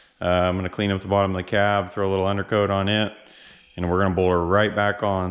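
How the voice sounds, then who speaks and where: Talking at a very fast pace, a man delivers his words in a monotone, flat intonation at a fairly low pitch. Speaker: car builder vlogger. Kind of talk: casual vlog narration. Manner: casual, many filler words.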